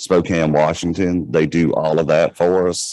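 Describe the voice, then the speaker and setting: In a flat monotone, a man talks with a very deep, low pitch. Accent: Southern US. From US South. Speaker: credit union manager. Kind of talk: panel discussion.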